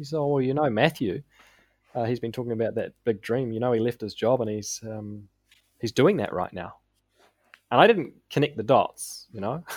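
In a very clean recording with a silent background, a man with a New Zealand accent speaks at a moderate pace and medium pitch, with ordinary pitch variation and long, frequent pauses. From New Zealand, South Auckland. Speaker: business coach. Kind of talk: podcast interview.

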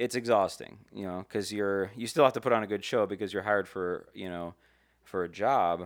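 In a very clean recording with total silence behind him, a man with a fairly low voice keeps a moderate pace and fairly even intonation while his loudness swings widely. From Las Vegas, US. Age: 30s. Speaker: singer-songwriter and producer. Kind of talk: casual interview. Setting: studio, masked and six feet apart.

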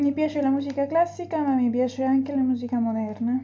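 Over noticeable background noise, a high-pitched woman talks at a moderate pace with ordinary pitch variation. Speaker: language learner. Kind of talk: reading aloud. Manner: halting.

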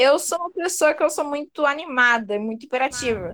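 A woman's high-pitched voice at a moderate pace, with very wide pitch swings. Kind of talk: casual chat.

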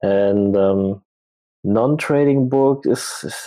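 Speaking with a German accent, a man has a dark, mellow tone and a fairly low pitch. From Germany. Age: 30s. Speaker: full-time trader. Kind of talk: casual interview. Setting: livestream.

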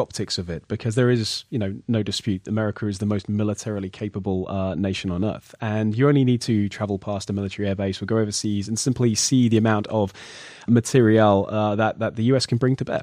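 In a British accent, a man talks at a very fast pace with hardly any pauses, his dark, mellow tone sitting fairly low with ordinary pitch variation. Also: quiet background. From Britain. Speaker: podcast host. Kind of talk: podcast interview.

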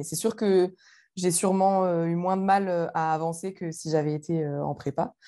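Her voice is fairly low in pitch and dark and mellow in tone, and this woman keeps her intonation fairly even. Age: 20s. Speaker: former student. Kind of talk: interview.

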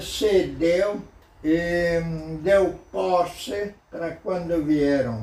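A man at a very slow pace, with audible room echo. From southern Brazil, Rio Grande do Sul. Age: 80s+. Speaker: local historian. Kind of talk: interview. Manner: halting.

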